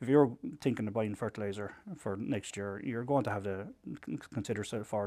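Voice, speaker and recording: A man talks at a very fast pace with an Irish accent. His tone is dark and mellow, his intonation fairly even. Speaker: farmers' group representative. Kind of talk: interview. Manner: halting.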